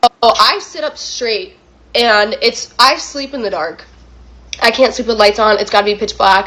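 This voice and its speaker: A woman talks with a fairly high pitch. Noticeable background noise runs behind her. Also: moderate pace. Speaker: YouTuber, story reactor. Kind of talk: casual storytelling. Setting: home recording setup. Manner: casual, filler-heavy.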